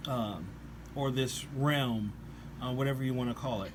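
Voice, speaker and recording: In a room with audible echo, a somewhat breathy man speaks at a medium pitch and moderate pace with ordinary pitch variation. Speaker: religious commentator on rock songs. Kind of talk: scripture-based song review. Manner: hesitant, many fillers.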